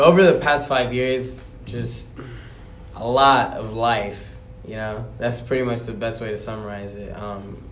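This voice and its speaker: Recorded with audible room echo and noticeable background noise, a man with a medium pitch talks at a fairly slow pace, his pitch varying in an ordinary way while his loudness swings widely. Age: 20s. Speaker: rapper and journalist. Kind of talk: podcast interview. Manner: casual.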